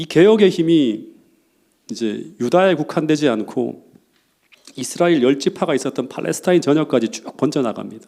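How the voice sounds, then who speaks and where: A man speaks with lively intonation and some vocal fry. His tone is dark and mellow. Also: fairly high pitch for a man. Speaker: pastor. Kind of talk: sermon. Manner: fast.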